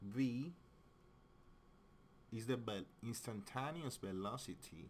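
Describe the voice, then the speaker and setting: A man with a strong non-native accent talks at a very slow pace. His medium-pitched voice carries lively intonation. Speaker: physics teacher. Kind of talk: tutorial. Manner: halting.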